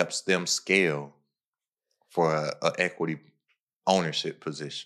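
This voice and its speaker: Against a quiet background, a man speaks at a fairly slow pace with long, frequent pauses. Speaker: podcast host and digital product entrepreneur. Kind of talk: casual chat.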